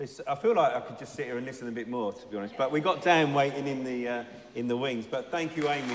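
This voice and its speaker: A man speaks at a medium pitch and a fairly quick pace, with ordinary pitch variation. The room echo is audible, and there is noticeable background noise. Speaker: church leader interviewing members. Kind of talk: church interview.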